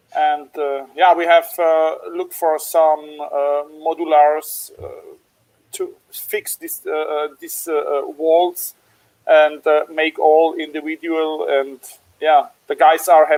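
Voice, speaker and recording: A man with a German accent at a very slow pace. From Germany, Stuttgart area. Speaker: small business owner, laser user. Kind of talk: webinar panel interview. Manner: halting, many fillers.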